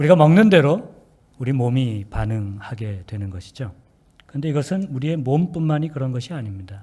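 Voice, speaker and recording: A man speaks at a medium pitch and fairly quick pace, somewhat breathy, with very wide pitch swings. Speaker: pastor. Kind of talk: sermon. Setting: church.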